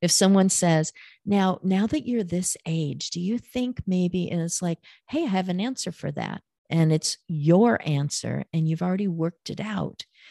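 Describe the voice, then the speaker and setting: The sound is dry and close with no echo as a woman talks at a fairly low pitch. She has an ordinary speaking voice, a moderate pace and ordinary pitch variation. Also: very clean recording, silent background. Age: 60s. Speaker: caregiver and author on aging. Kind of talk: interview.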